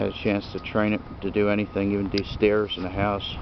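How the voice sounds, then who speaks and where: A man speaks at a moderate pace, his pitch fairly low with ordinary variation. Noticeable background noise sits under a dry sound with no echo. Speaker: dog owner vlogger. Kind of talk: casual vlog chat. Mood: relaxed, pleased. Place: open country. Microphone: phone near.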